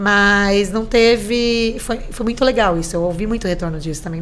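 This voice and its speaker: A woman talks with hardly any pauses and ordinary pitch variation. Noticeable background noise and audible room echo fill the recording. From Brazil, São Vicente (São Paulo coast). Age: 40s. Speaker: tourism department official. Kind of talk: casual interview chat.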